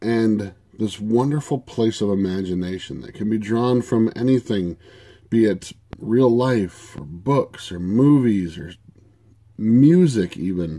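A man talks at a fairly slow pace with a dark, mellow tone and fairly low pitch. His intonation is lively, his loudness swings widely, and the background is quiet. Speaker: tabletop RPG video creator. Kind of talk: casual monologue to camera. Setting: at home desk. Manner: hesitant, many fillers. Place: home room. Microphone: webcam.

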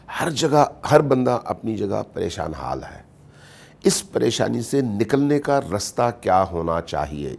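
Speaking at a very slow pace, a man shows vocal fry and very wide pitch swings. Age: 50s. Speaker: Shia religious scholar; guest. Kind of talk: interview. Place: studio.

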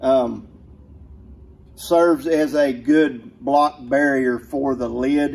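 A man speaks at a very slow pace and medium pitch with vocal fry. His tone is slightly mellow and his intonation fairly even.

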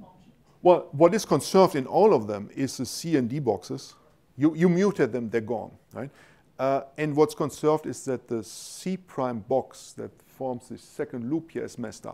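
Man's fairly high voice in a German accent, with a dark, mellow tone, lively intonation, big swings in loudness and a moderate pace. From Germany. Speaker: university professor, molecular biochemist; lecturer. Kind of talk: scientific lecture with Q&A. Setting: lecture hall with audience. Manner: informal, humorous. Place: hall.

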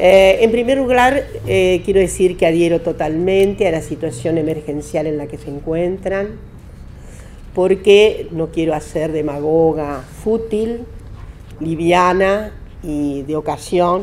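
At a very slow pace, a woman speaks in a fairly low pitch over light background noise. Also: ordinary pitch variation. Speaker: speaker. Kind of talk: lecture. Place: meeting room. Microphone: podium.

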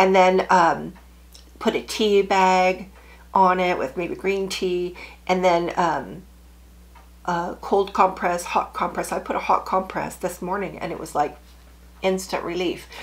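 A woman speaks at a fairly slow pace in a medium pitch, with long, frequent pauses. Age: 60s. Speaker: sewing YouTuber; sewing vlogger. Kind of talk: casual chat. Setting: home sewing room. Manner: animated. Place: home room.

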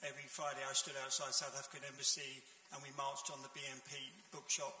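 There is audible room echo as a man speaks at a fairly quick pace with a fairly high pitch. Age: 70s. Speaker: audience member. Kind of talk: audience question. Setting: stage with audience. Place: hall.

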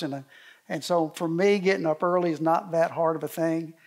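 A man's high-pitched voice, monotone and flat, at a fairly quick pace against a quiet background. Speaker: speaker. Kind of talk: sermon. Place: hall.

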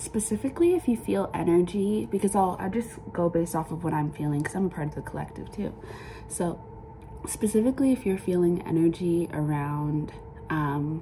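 Speech moves at a fairly quick pace. Light background noise is present. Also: woman, fairly low pitch for a woman. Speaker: tarot reader. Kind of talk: casual spiritual reading talk. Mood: calm, reflective. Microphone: phone near.

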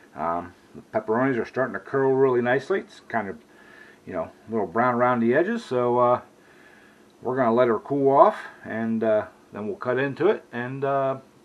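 A man talks at a fairly quick pace. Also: big swings in loudness. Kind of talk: casual cooking tutorial. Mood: relaxed, easygoing. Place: kitchen. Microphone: camera far.

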